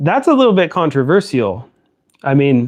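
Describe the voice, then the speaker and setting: The pace stays moderate. An American accent comes through. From Central Valley, California. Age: 40s. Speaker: tool reviewer YouTuber. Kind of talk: live stream Q&A. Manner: halting, many fillers.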